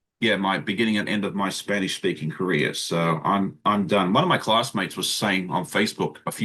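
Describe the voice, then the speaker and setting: A man with a very deep, low pitch and an Australian accent talks at a very fast pace with ordinary pitch variation. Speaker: sewing channel creator. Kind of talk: casual chat.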